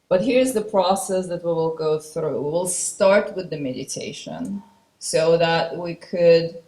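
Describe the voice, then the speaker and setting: The voice is somewhat breathy and dark, mellow in tone, moving at a very slow pace. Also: woman. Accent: non-native. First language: not English. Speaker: spiritual channeler. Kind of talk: conference talk introducing a channeling.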